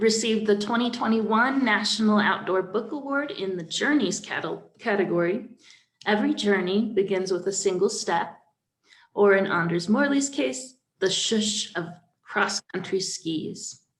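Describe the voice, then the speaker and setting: In a plain, everyday voice, a woman talks at a fairly slow pace with a medium pitch and ordinary pitch variation. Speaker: library event host. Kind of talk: event introduction.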